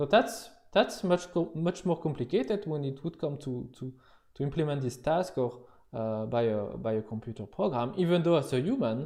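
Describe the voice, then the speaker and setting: With a French accent, a man speaks at a moderate pace in a fairly high pitch, his dark, mellow tone moving through very wide pitch swings over a quiet background. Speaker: university lecturer. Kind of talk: lecture. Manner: halting, many fillers and repetitions.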